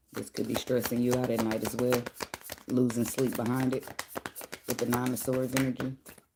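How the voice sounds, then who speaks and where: A woman speaks quietly at a fairly quick pace, her very deep, low voice monotone and flat. Long, frequent pauses break it up, and background noise is noticeable. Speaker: tarot reader. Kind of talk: tarot reading livestream. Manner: quiet, speaking low; casual, conversational.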